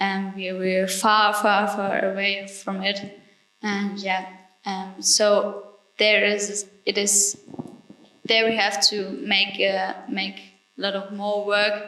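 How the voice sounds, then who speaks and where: In a German accent, a woman speaks very slowly at medium pitch with monotone, flat intonation and audible room echo. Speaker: climate activist. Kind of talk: panel talk. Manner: halting.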